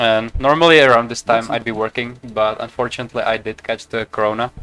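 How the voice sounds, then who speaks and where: Against music in the background, a man with a slight Czech accent speaks at a very fast pace. His pitch is medium and his intonation fairly even. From Czech Republic. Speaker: video game streamer. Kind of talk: casual gameplay commentary. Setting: live stream at home.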